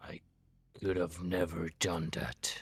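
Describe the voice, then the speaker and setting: Using a put-on character voice, a man sounds raspy. His pitch is very deep and low. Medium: actual play. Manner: halting, earnest, slightly formal.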